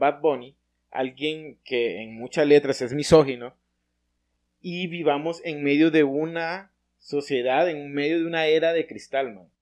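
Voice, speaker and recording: An unremarkable speaking voice moves at a fairly slow pace with ordinary pitch variation. The background is quiet. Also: man. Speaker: podcast co-host. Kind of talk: casual interview.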